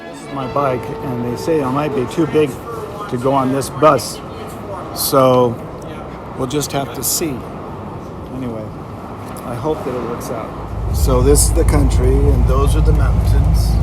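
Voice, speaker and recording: Fairly slow speech broken by long, frequent pauses, with audible room echo and noticeable background noise. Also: man. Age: 60s. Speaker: long-distance cyclist. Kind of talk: documentary narration; video diary.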